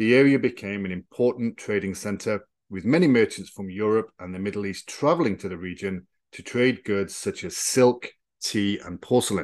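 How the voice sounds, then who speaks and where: Over a quiet background, a normal speaking voice moves at a moderate pace with ordinary pitch variation. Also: man. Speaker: podcast host and historian. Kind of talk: history documentary narration, scripted and read in an even, explanatory tone. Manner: formal, measured and neutral, steady educational delivery.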